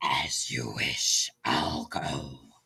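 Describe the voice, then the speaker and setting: A man puts on a character voice. It comes out breathy and growling. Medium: read story. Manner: polite, mild.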